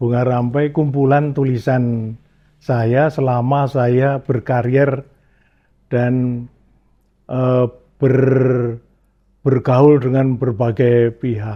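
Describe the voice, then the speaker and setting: Very slow, monotone, flat speech from a man of medium pitch, broken by long, frequent pauses. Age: 70s. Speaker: cultural figure and educator. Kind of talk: interview.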